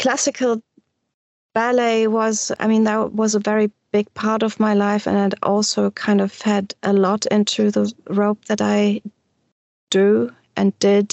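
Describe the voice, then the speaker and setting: With a German accent, the speaker goes very slowly in a flat monotone, leaving long, frequent pauses. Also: woman, very even loudness. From Germany, Düsseldorf. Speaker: shibari practitioner and teacher. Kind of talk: interview. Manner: halting.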